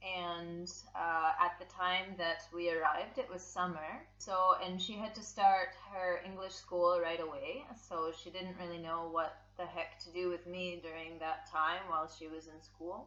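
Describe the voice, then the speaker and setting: A woman speaks fairly slowly at a fairly low pitch, her intonation monotone and flat. Her loudness swings widely, and there is noticeable background noise. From US West Coast (San Francisco), born in Russia. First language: Russian. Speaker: circus contortionist. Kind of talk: casual interview chat. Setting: podcast.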